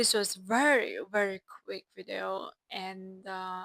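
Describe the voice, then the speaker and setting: A woman with a non-native accent speaks at a medium pitch in a bright, sharp tone. The sound is dry and close with no echo. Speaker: self-help vlogger. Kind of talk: casual vlog monologue.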